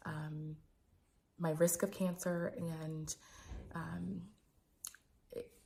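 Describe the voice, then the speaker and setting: Very slowly and with long, frequent pauses, a woman speaks in a dark, mellow, somewhat breathy tone with fairly even intonation. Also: fairly low pitch for a woman. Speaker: physician and sex educator. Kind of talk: personal vlog. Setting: home recording. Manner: soft-spoken; hesitant, many fillers.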